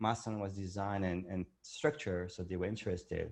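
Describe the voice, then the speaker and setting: A man with a French accent at a fairly quick pace, against a quiet background. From France, Vietnamese parents. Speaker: entrepreneur and meditation creator. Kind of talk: interview. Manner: halting, with fillers.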